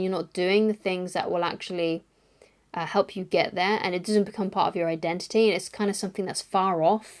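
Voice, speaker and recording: A woman of medium pitch at a fairly quick pace, fairly even intonation, in a very clean recording with a silent background. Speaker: personal development vlogger. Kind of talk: casual talking-head vlog. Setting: talking to camera. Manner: halting, many fillers; sometimes unsure-sounding.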